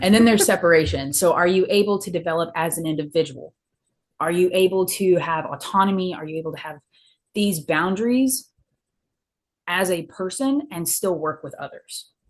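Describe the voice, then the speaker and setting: A woman has a plain, everyday voice with fairly low pitch and ordinary pitch variation. She keeps a moderate pace, with big swings in loudness. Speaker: counseling student. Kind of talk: interview presentation on counseling theory.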